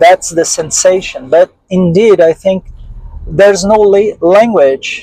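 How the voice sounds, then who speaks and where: At a very slow pace and with fairly even intonation, the speaker uses a Portuguese accent and a dark, mellow tone, recorded dry and close with no echo. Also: man. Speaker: interviewee on UFO experiences. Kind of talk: interview testimony. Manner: halting, with frequent fillers.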